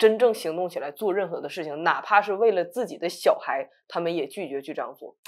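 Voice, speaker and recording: Against a quiet background, a woman with a medium pitch talks at a fairly quick pace with lively intonation, hardly any pauses and big swings in loudness. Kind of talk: casual talk show discussion. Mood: earnest, encouraging. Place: studio.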